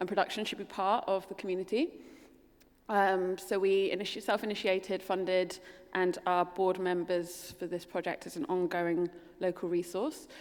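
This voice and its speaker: A woman speaks at a medium pitch with a London accent. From London, England. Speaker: architect. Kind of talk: keynote presentation.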